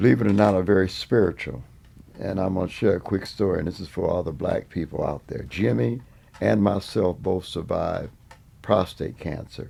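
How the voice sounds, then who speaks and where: Lively intonation runs through a man's very deep, low voice. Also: moderate pace. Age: 70s. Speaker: veteran funk musician. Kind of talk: interview.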